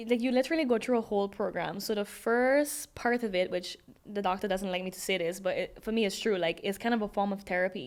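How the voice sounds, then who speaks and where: At a very fast pace, a woman with a strong Sint Maarten accent speaks at medium pitch with ordinary pitch variation. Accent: Sint Maarten Caribbean accent, kept strong. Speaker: DJ and dancer. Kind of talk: interview.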